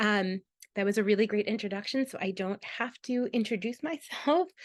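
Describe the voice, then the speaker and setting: Against a quiet background, a woman with a fairly high pitch speaks at a moderate pace with ordinary pitch variation, the sound dry and close with no echo. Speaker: psychologist giving a training webinar. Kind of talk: lecture.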